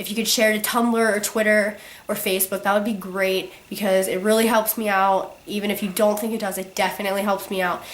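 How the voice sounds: With audible room echo, a woman talks at a fairly quick pace in a medium pitch that shows little pitch movement.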